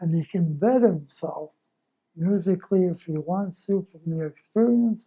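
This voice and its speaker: A man speaks at a moderate pace with a dark, mellow tone. His pitch sits high. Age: 90s. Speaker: retired Navy musician. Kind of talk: interview.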